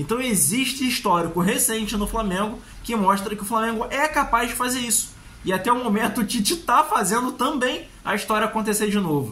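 In a raised, projected voice, a man speaks at a fairly quick pace with a high pitch and ordinary pitch variation. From Brazil. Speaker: football YouTuber, fan commentator. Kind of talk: solo match analysis vlog. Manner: casual, conversational. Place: home room. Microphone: phone near.

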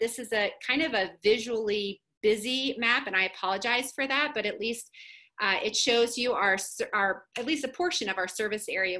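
A woman speaks at a fairly quick pace in a bright, sharp tone, with ordinary pitch variation. The background is quiet. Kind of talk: webinar presentation. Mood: warm, friendly. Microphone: webcam.

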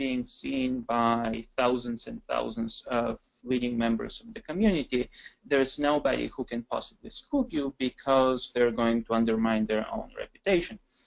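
The man talks at a moderate pace. The background is quiet. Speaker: scientist; webinar panelist. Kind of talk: webinar presentation. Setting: video call. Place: office. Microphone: video call.

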